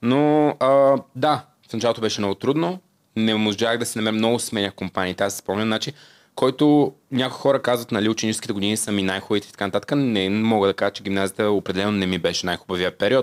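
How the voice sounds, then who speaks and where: Against a quiet background, a man with a fairly low pitch and ordinary pitch variation speaks very fast. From Bulgaria, Svilengrad (southeast); Bulgaria. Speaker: singer and TikTok creator; TikTok creator. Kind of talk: casual interview chat. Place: studio. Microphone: studio mic.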